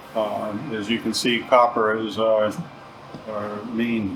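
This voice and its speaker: Against noticeable background noise and audible room echo, a man talks at a fairly slow pace in a medium pitch with monotone, flat intonation. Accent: American. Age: 60s. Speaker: sheet metal shop owner. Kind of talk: casual interview, shop history.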